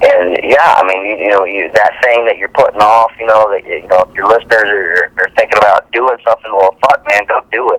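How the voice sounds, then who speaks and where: A man talks at a fairly quick pace with hardly any pauses. The sound is dry and close with no echo, though noticeable background noise is present. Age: 40s. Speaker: actor. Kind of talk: interview.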